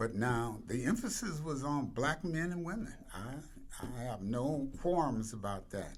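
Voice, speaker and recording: Audible room echo surrounds a somewhat breathy man speaking at a fairly slow pace in a medium pitch. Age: 80s+. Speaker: nonprofit founder and CEO. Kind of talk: interview.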